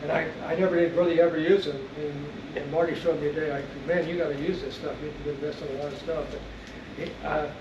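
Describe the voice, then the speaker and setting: Talking very fast in a fairly high, monotone, flat voice, a man is heard through audible room echo and noticeable background noise. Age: 80s+. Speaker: veteran angler and fishing writer. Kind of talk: seminar talk. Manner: halting, many repetitions.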